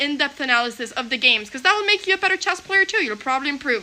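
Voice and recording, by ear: A high-pitched woman's voice, bright and sharp, at a fairly quick pace with lively intonation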